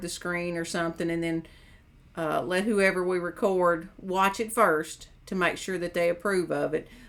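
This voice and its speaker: Speaking at a moderate pace, a woman with an American accent uses a medium pitch. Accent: hillbilly. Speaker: mental health counselor and caregiver. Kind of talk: casual chat.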